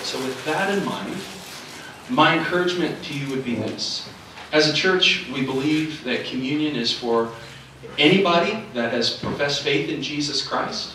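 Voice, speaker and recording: A man talks at a moderate pace with ordinary pitch variation. There is audible room echo and light background noise. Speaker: pastor. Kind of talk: sermon.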